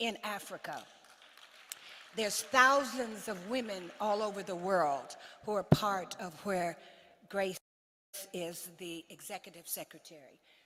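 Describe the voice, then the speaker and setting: A woman with an American accent at a fairly slow pace, medium in pitch with ordinary variation. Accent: non-Ghanaian (American). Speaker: diplomat, head of diaspora organization. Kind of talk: conference speech. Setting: stage with audience at summit.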